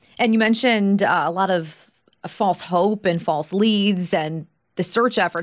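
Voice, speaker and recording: A woman with an American accent speaks at a moderate pace in an unremarkable speaking voice. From Long Island, New York. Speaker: podcast host. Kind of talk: interview; scripted narration.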